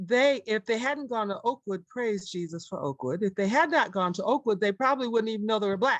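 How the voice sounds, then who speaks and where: A woman's plain, everyday voice with lively intonation, in a dry, close sound with no echo. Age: 60s. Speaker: church member sharing testimony. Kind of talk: testimony.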